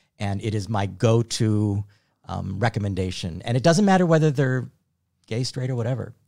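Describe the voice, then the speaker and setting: In a very clean recording with a silent background, a man speaks at a fairly quick pace. His voice has a dark, mellow tone, a fairly low pitch and ordinary pitch variation. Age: 60s. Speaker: activist and writer. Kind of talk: casual chat.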